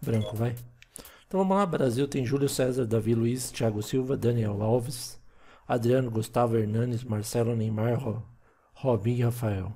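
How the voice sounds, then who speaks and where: Speaking in a Brazilian accent, a man has a medium pitch, a somewhat breathy voice and ordinary pitch variation. His pace is fairly slow, with long, frequent pauses. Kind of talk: casual gameplay chat. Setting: home recording of video game.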